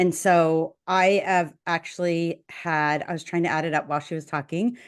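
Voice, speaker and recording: Against a quiet background, a woman with an unremarkable speaking voice talks at a moderate pace, her pitch fairly low and her intonation fairly even. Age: 60s. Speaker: nurse and podcast co-host. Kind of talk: casual chat.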